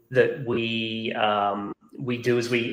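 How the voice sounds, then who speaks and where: A man with a slight Australian accent speaks at a medium pitch with fairly even intonation. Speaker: software company executive. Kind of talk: webinar interview. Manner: halting, many fillers and repeats.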